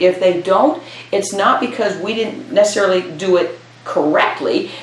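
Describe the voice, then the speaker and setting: The speaker has an American accent. Audible room echo and noticeable background noise run through the clip. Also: woman. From US Midwest, Iowa. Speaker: retired parks and recreation director. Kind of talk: oral history interview.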